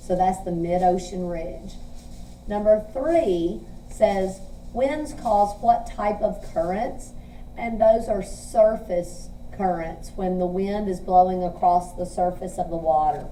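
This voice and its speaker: Over noticeable background noise and audible room echo, a woman speaks very slowly at a medium pitch with ordinary pitch variation. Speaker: teacher. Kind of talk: tutorial.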